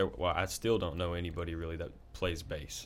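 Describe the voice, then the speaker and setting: A Southern US accent at a fairly quick pace, with ordinary pitch variation. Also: man. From Covington, Tennessee. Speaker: band bassist. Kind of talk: casual chat.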